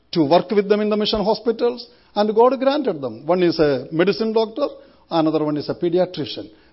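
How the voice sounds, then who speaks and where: A man with an Indian accent speaks at a high pitch and a moderate pace, his intonation lively. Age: 60s. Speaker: missionary preacher. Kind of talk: sermon. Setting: church.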